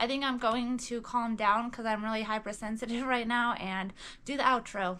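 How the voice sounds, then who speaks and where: A woman talks at a moderate pace. Her fairly high voice stays monotone and flat. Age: 20s. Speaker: vlogger in hospice care. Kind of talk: emotional personal vlog. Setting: at home on her bed. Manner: halting.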